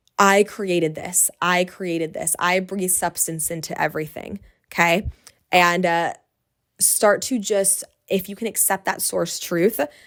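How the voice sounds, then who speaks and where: Speaking at a medium pitch, a woman sounds animated while keeping a fairly slow pace. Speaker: podcast host and business coach. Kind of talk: solo podcast monologue.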